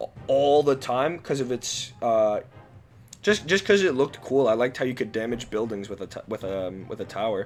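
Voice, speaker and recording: Music plays in the background. A man speaks loudly with very wide pitch swings. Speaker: gaming youtuber. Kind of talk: casual commentary. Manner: halting, many fillers; volume jumps louder.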